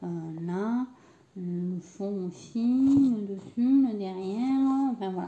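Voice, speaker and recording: A woman speaks at a very slow pace with a medium pitch and lively intonation over noticeable background noise. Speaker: crafting youtuber. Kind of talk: tutorial. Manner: hesitant, many fillers.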